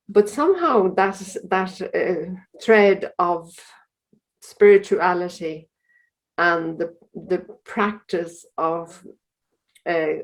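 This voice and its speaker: With an Irish accent, a woman speaks at a medium pitch and a very slow pace, her intonation fairly even and her speech marked by long, frequent pauses. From Ireland, County Louth. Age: 70s. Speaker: religious sister. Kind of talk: interview.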